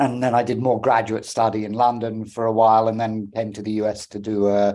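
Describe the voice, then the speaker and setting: A man with a British accent talks at a moderate pace in a fairly low pitch. His tone is dark and mellow, his intonation monotone and flat. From England. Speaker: philosophy professor. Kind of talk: interview.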